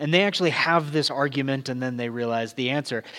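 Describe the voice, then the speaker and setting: A man speaks with a slight Southern California accent. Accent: light Southern California. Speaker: pastor. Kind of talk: sermon. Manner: casual and halting with fillers.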